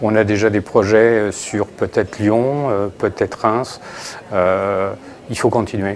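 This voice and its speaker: At a very slow pace, a man talks over noticeable background noise. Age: 60s. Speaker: company executive in a news report. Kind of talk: interview. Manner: halting, many hesitations.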